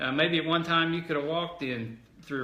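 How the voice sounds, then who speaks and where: Spoken in an Arkansas accent, the words come at a fairly quick pace with fairly even intonation. Audible room echo surrounds the voice. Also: man. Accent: southern US (Arkansas). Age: 40s. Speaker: politician. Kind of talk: telephone town hall. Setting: phone call.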